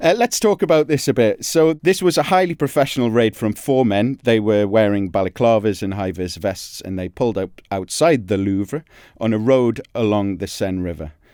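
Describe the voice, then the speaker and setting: A man with a Geordie accent, fairly low-pitched, with a dark, mellow tone, lively intonation, moderate pace and hardly any pauses, in a dry, close, echo-free sound on a very clean recording with a silent background. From northern England, Newcastle (Geordie). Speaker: crime journalist, podcast co-host. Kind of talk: casual podcast chat.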